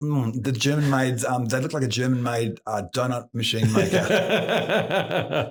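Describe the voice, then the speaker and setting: A man speaks with an Australian accent and lively intonation. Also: medium pitch for a man, fairly slow pace. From Victoria, Australia. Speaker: concrete polisher, business owner. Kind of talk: podcast interview. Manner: hesitant, many fillers.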